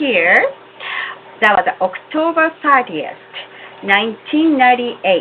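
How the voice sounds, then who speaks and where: A woman speaks at a fairly slow pace in a Japanese accent, her high pitch swinging very widely. Noticeable background noise sits behind her. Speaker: religious community member. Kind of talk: testimony. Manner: formal.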